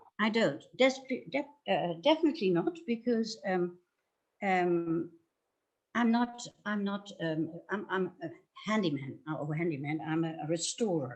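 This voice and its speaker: With a Dutch accent, a woman speaks at a moderate pace and medium pitch, her pitch swinging very widely between long, frequent pauses. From Netherlands. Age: 70s. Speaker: furniture restorer. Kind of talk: interview. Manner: halting, many fillers.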